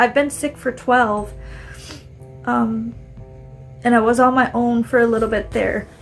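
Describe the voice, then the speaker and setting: Background music can be heard. Over it, a woman speaks at a moderate pace. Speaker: chronic illness video diarist. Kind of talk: casual video diary vent. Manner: casual, halting with fillers.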